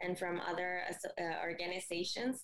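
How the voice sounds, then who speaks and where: Speaking at a medium pitch, a woman shows ordinary pitch variation. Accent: Mexican. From Mexico. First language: Spanish. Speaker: recent graduate and co-founder. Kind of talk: interview.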